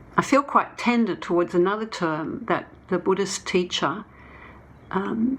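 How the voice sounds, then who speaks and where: A woman with an Australian accent speaks at a medium pitch and a fairly slow pace, with lively intonation. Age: 70s. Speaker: documentary filmmaker. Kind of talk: conference talk. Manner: halting.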